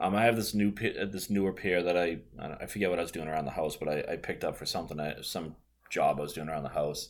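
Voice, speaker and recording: Talking at a very fast pace, a man with an American accent uses a very deep, low pitch and ordinary pitch variation. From Boston area, US. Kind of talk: casual chat. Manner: chatty, casual.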